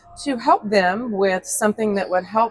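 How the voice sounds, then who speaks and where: A woman with an American accent uses an ordinary speaking voice, fairly high in pitch. She keeps a moderate pace and fairly even intonation. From Texas. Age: 50s. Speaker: product representative. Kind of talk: sales pitch. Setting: convention hall.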